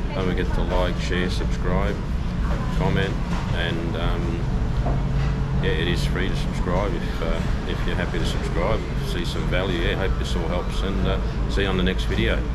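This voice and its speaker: Music runs in the background while a man talks at a moderate pace with long, frequent pauses. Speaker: vlogger. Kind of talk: casual vlog chat. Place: cafe. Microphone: phone near.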